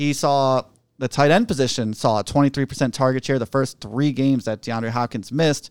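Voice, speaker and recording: A man talks at a fairly quick pace with a medium pitch, ordinary pitch variation, and an unremarkable speaking voice. The recording is very clean with a silent background and a dry, close sound with no echo. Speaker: fantasy football podcast co-host. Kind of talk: casual chat.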